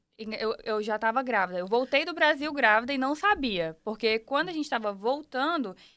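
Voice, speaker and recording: The voice has a bright, sharp tone and ordinary pitch variation, moves at a moderate pace, and comes in a very clean recording with a silent background. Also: woman. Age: 20s. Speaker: podcast guest, mother. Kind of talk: casual interview.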